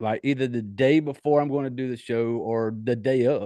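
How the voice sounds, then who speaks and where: This is a man with a medium pitch. His tone is dark and mellow. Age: 40s. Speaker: horror movie podcast host. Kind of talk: casual podcast monologue. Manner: loud.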